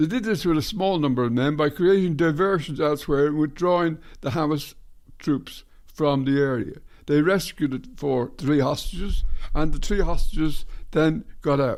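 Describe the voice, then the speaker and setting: A man speaks at a moderate pace in an Irish accent. His pitch sits fairly high, with ordinary variation. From Ireland. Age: 80s+. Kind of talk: casual talk to camera.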